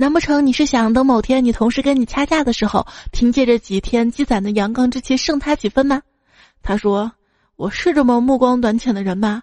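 With ordinary pitch variation, the talking goes along at a fairly quick clip. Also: woman, high pitch for a woman, dry, close sound with no echo. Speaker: podcast host. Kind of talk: comedic joke reading. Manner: animated.

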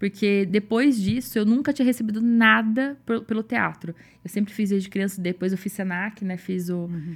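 The voice is somewhat breathy, with ordinary pitch variation. It runs on with hardly any pauses. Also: woman, medium pitch for a woman, moderate pace. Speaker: bank clerk and consciousness facilitator. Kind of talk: casual chat.

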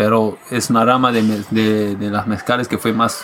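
Over noticeable background noise, a man speaks at medium pitch and a moderate pace. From Quebec and the United States. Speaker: musician. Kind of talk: casual chat.

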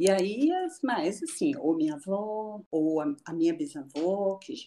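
Woman's dark, mellow tone at medium pitch, with very wide pitch swings. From Rio de Janeiro, then Brasília from 13. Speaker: photographer and traveler. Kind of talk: casual interview. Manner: animated.

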